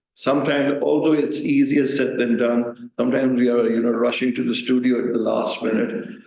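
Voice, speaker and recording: A man of medium pitch at a fairly quick pace, hardly any pauses, fairly even intonation and audible room echo. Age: 60s. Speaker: news reader. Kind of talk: talk to audience. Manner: halting.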